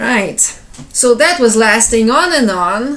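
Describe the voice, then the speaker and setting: With audible room echo, a woman with a Ukrainian accent speaks at a fairly slow pace in a high pitch. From Ukraine, Kyiv. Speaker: civilian giving personal account. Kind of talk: personal testimony. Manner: halting, with repetitions.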